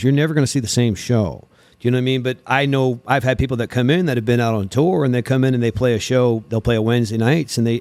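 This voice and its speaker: A man talks at a very fast pace with an American accent, his pitch medium and its variation ordinary. The loudness stays very even, and the recording is very clean with a silent background. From US Northeast. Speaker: musician and venue host. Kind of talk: casual chat.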